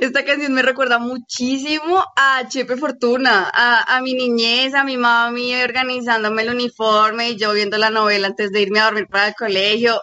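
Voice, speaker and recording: A woman talks at a moderate pace in a high pitch with ordinary pitch variation and hardly any pauses, over noticeable background noise. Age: young. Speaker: student co-host. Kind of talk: radio talk show.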